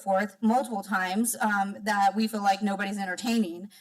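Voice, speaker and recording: Over noticeable background noise, a woman talks at a fairly high pitch and a fairly quick pace. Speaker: solar advocacy program director. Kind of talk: public comment. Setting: public meeting. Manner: fast.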